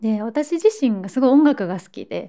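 The recording is very clean with a silent background as a woman speaks fairly slowly in a dark, mellow tone with ordinary pitch variation. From Osaka, Japan. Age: 20s. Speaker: model and podcast host. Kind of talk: casual solo podcast talk.

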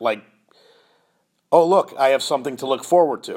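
This man's voice sits at a fairly high pitch, with ordinary pitch variation. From US Midwest (Chicago). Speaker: podcast host, youth lacrosse advocate. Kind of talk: casual solo podcast monologue. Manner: conversational with many fillers.

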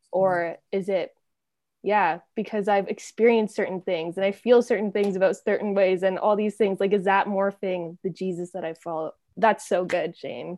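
Against a quiet background with a dry, close sound and no echo, a woman with a normal speaking voice talks at a moderate pace, a medium pitch and a fairly even intonation. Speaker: podcast host. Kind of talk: casual interview chat.

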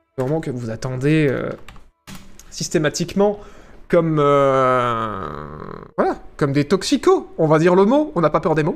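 A man's fairly high voice at a fairly slow pace, lively in intonation, broken by long, frequent pauses. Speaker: streamer. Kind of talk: live stream commentary. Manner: animated, varying pitch.

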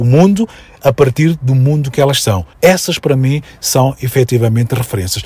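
With a normal speaking voice, a man at a medium pitch talks at a fairly slow pace with ordinary pitch variation. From Mozambique (Maputo, Mafalala). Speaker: educator and consultant. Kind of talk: radio interview.

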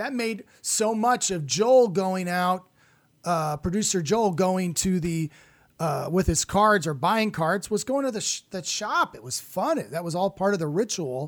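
On a very clean recording with a silent background, a high-pitched man speaks at a fairly slow pace with lively intonation. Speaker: podcast host and comedian. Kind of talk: casual chat.

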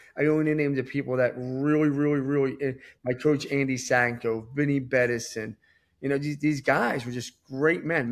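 In a very clean recording with a silent background, a man with an American accent uses an ordinary speaking voice, fairly high in pitch and fairly quick, with fairly even intonation. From Philadelphia area, US. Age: 40s. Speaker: entrepreneur. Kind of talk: casual interview.

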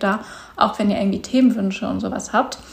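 A somewhat breathy woman talking at a very fast pace. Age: 20s. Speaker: podcast host and content creator. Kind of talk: casual solo monologue. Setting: at home on a couch. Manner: hesitant, filler words.

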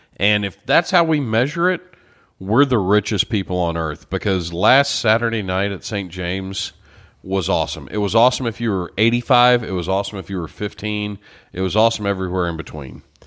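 With a Texan accent, a man speaks fairly quickly in a fairly low voice. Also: ordinary pitch variation. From Texas, Beaumont. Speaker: podcast co-host. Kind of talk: casual chat. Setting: studio.

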